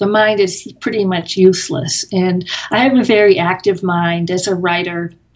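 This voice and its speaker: A woman speaks with an American accent. She has a normal speaking voice. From US Northeast (Massachusetts). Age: 60s. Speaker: author and meditator. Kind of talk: interview.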